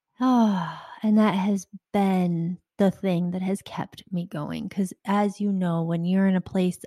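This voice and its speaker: A woman speaks very slowly in a fairly low, somewhat breathy voice with a dark, mellow tone and fairly even intonation. The sound is dry and close with no echo, and the background is quiet. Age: 40s. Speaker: life coach and podcast host. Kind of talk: solo podcast monologue.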